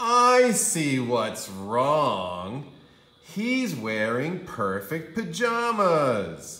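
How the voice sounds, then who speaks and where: Very slow and raised to a projected level, a put-on character voice makes very wide pitch swings with audible echo. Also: man, fairly high pitch for a man. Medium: read story. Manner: calm, matter-of-fact.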